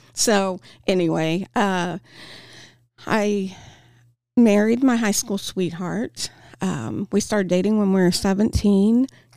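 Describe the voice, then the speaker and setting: In a Midwestern US accent, a woman with a dark, mellow tone speaks at a very slow pace with long, frequent pauses, on a very clean recording with a silent background. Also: medium pitch for a woman, ordinary pitch variation. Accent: US Midwest. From Kansas, Topeka. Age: 40s. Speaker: addiction recovery speaker. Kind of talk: interview testimony. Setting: studio.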